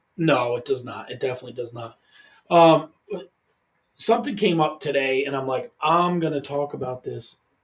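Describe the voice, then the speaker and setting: A man speaks at a moderate pace in a somewhat breathy, fairly high voice, with ordinary pitch variation, big swings in loudness, and long, frequent pauses. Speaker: podcast co-host. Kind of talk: casual chat.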